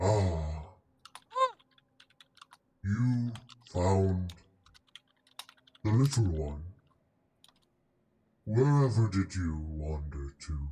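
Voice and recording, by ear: Loud and booming, a put-on character voice pitched low moves at a very slow pace with long, frequent pauses.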